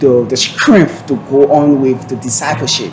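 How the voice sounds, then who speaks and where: Fairly high male voice at a fairly slow pace and with fairly even intonation, amid noticeable background noise and audible room echo. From Liberia. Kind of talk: TV talk show interview. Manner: halting, repetitive.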